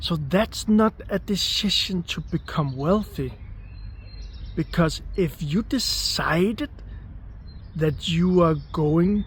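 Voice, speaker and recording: A man at a very slow pace, with long, frequent pauses and noticeable background noise. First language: not English. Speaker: manifestation coach. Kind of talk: motivational talk. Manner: repetitive, emphatic.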